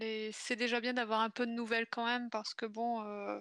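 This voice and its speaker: A woman speaks with a fairly high pitch and a bright, sharp tone. Her intonation is monotone and flat. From northern France, Pas-de-Calais. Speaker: guest co-host of a video game stream. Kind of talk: casual chat.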